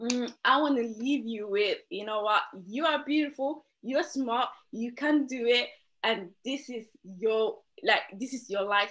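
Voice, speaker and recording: Her tone animated and her pitch high with ordinary variation, a woman speaks at a fairly slow pace. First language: not English. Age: 20s. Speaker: interview guest. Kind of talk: motivational talk. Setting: video call.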